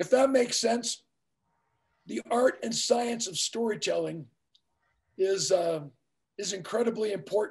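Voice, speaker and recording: With long, frequent pauses, a man speaks at a fairly slow pace and a high pitch, his intonation lively. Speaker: public speaking teacher and professional speaker. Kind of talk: conference presentation to a live audience. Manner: engaging, conversational, motivational.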